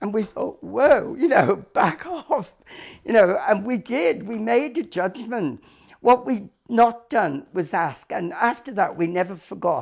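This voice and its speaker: Fairly high in pitch, a woman's voice swings very widely up and down and carries vocal fry. She speaks at a fairly slow pace. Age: 80s+. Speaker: cancer support service leader. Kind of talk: interview answer.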